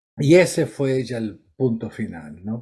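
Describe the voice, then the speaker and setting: Music plays in the background as a man speaks. He goes at a very slow pace with ordinary pitch variation. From Argentina, Córdoba. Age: 70s. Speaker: psychiatrist. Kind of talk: interview.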